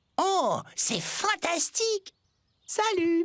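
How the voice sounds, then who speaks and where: At a very slow pace, the speaker uses a put-on character voice with an extremely high pitch. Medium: fan dub. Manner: friendly, insistent.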